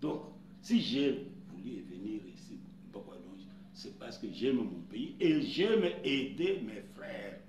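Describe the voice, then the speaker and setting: A man with a fairly high pitch talks at a very slow pace with long, frequent pauses, very wide pitch swings and big swings in loudness, amid noticeable background noise and audible room echo. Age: 80s+. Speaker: customary chief. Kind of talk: interview.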